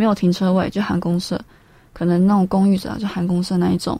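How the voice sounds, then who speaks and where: This woman's voice is somewhat breathy. She talks at a fairly quick speed. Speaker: radio co-host. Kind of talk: radio talk show.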